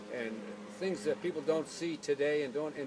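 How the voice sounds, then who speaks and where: Someone speaks with an American accent. Noticeable background noise runs under the voice. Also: man. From Chicago, US Midwest. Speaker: family elder interviewee. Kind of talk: family oral history interview. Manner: hesitant, many fillers.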